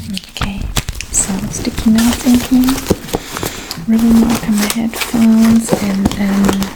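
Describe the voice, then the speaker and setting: A soft-spoken woman with a gentle tone and fairly high pitch, monotone and flat, at a very slow pace with long, frequent pauses, over noticeable background noise. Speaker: ASMR creator. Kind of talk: ASMR show-and-tell talk to camera. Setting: lo-fi, close-mic home recording. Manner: soft-spoken, gentle.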